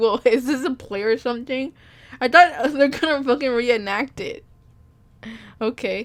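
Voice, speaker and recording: Speaking at a moderate pace with long, frequent pauses, a woman with a high pitch uses ordinary pitch variation. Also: big swings in loudness. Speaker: reaction video creator. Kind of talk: casual rant reacting to videos. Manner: halting, repetitive.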